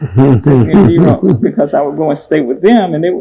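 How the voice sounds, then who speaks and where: In an American accent, a woman talks with a very deep, low pitch. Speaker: gospel singer. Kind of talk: testimony. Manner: halting.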